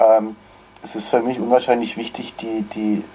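Moderate speed and a fairly low male voice, over noticeable background noise. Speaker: choir conductor. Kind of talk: interview. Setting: video call.

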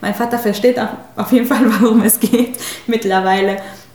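A Spanish accent at a moderate pace, in a monotone, flat intonation, with noticeable background noise. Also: woman. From Mexico. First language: Spanish (speaking German). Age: 30s. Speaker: spiritual healer. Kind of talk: interview.

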